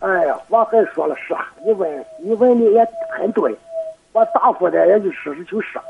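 The speaker is a man with a high pitch. Noticeable background noise sits behind him. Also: moderate pace. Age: 50s. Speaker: farmer. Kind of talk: phone call-in. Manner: soft-spoken; halting.

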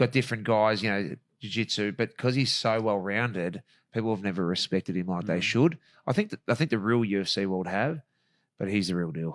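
Recorded very clean against a silent background, dry and close with no echo, a man with an Australian accent talks at a fairly quick pace with ordinary pitch variation. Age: 40s. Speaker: real estate agent and ring announcer. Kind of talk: casual chat.

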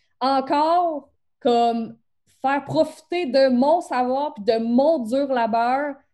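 This woman's voice is high in pitch, with ordinary pitch variation and a dark, mellow tone. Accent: Beauce. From Quebec. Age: 20s. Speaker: photography business coach. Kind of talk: interview. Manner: casual, teen-like slang.

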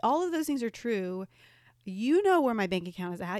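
Here a woman speaks at a fairly quick pace in a plain, everyday voice. The recording is very clean, with a silent background. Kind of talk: casual chat.

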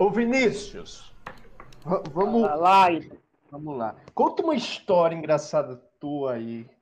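Very slow speech with long, frequent pauses and very wide swings in pitch. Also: man, high pitch for a man. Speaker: student interviewer.

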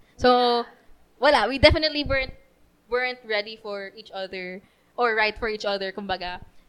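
A woman talks at a moderate pace in a normal speaking voice. Her fairly high pitch shows ordinary variation, while her loudness swings widely. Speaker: church youth member. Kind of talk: casual chat.

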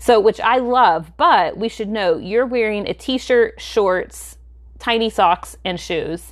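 On a very clean recording with a silent background, a woman with an American accent speaks very slowly at a fairly high pitch with ordinary pitch variation. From US South. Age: 40s. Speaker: podcast co-host. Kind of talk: casual chat.

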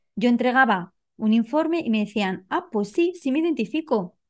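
Lively intonation marks this woman's fairly high voice, heard over a quiet background. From Spain. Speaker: coach and nonverbal behavior expert. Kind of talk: interview. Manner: halting.

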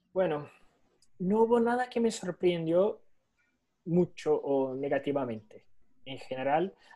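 A man with a high-pitched voice and a dark, mellow tone speaks with long, frequent pauses. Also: lively intonation. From Brazil. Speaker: insurance underwriter. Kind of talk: online talk and Q&A. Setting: video call. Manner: halting.

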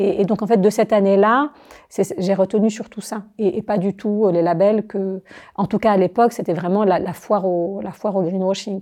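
A woman speaks at a moderate pace in a dark, mellow tone. Her pitch is medium, and her intonation is fairly even. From Algeria (Algiers). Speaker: architect and teacher. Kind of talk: interview conversation.

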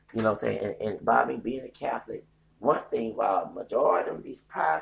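This man speaks very fast with a Texas accent. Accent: Southern US, Texas. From US South, Texas. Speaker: podcaster. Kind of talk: casual rant, opinionated commentary. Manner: angry, animated.

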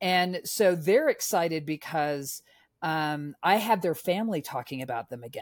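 A woman with an American accent and an unremarkable speaking voice talks at a moderate pace and fairly low pitch, with lively intonation and big swings in loudness, in a very clean recording with a silent background. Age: 50s. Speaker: author and former film marketing executive. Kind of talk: casual interview chat. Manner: chatty, rambling, upbeat.

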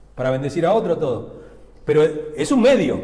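A man speaks with a fairly high pitch. Audible room echo surrounds the voice. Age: 50s. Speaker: pastor. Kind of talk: sermon. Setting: church pulpit. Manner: hesitant, many fillers and repetitions.

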